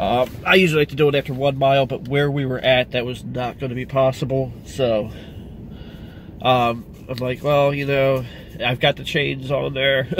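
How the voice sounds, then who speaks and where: At a moderate pace and with fairly even intonation, the voice comes through dry with no echo, over light background noise. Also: man. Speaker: car vlogger. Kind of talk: casual vlog chat. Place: car. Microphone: phone near.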